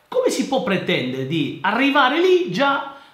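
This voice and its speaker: A man is speaking. Audible room echo is present. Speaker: engineer and educational youtuber; private tutor. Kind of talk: casual commentary reading listener mail. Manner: halting, repetitive. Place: office. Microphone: webcam.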